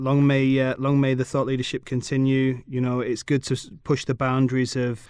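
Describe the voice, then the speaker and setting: A man with a British accent speaks at a medium pitch and a moderate pace in a monotone, flat intonation. The background is quiet. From England. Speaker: podcast host. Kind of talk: podcast interview.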